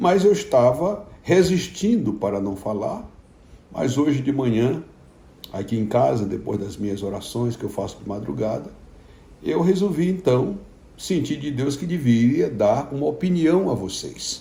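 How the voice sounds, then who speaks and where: A man speaks at a fairly slow pace with a somewhat breathy, dark, mellow tone and a fairly high pitch. His pitch swings very widely, and the room echo is audible. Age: 60s. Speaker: pastor. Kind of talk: informal video message to followers. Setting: at home.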